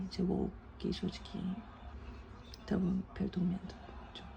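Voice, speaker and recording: A woman speaking at a moderate pace, with noticeable background noise. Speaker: vlogger. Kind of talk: casual vlog talk. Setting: at home in quarantine.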